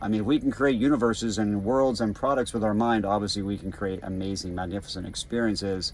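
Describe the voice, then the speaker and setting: Fairly low pitch and ordinary pitch variation in a man's voice. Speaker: wellness device seller. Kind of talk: casual monologue. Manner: rambling, halting.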